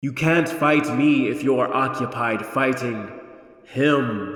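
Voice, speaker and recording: Using a put-on character voice, a man speaks very slowly at a medium pitch, with clear echo. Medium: read story. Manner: calm, matter-of-fact, ominous.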